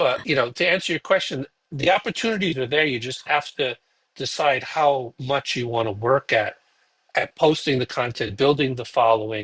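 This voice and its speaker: A man with a Brooklyn accent, medium in pitch, at a moderate pace with lively intonation. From Brooklyn, New York. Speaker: podcast host, guest expert. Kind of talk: interview conversation. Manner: halting, many fillers.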